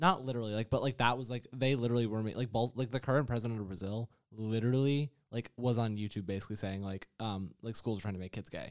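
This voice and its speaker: Talking at a very fast pace with hardly any pauses, a man with an American accent keeps his intonation fairly even. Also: medium pitch for a man. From New York. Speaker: podcast co-host. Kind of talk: casual chat.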